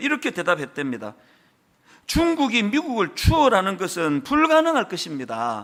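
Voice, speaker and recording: Keeping a moderate pace, a man lets his pitch swing very widely. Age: 60s. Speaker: pastor. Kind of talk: sermon. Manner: conversational, with fillers.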